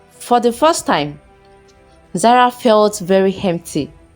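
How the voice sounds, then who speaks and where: Music plays in the background as a woman talks at a fairly slow pace. Her medium-pitched voice has lively intonation. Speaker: storyteller. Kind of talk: folktale story narration.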